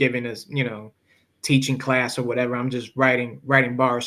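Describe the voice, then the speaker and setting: With a Spanish accent, a man speaks at a moderate pace in a bright, sharp tone. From Chicago, raised there from infancy (born in Puerto Rico). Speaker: independent rapper. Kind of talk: interview.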